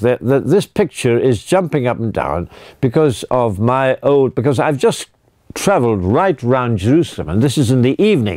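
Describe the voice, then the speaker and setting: Delivered at a moderate pace in a British accent, the voice has a dry, close sound with no echo. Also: man. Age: 80s+. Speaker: priest. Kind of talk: religious talk. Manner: halting.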